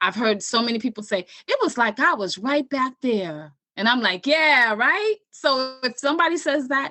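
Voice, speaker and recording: Speaking at a moderate pace, a woman sends her pitch through very wide swings. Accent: New York. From New York City, South Bronx. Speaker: writer and storyteller. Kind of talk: interview conversation.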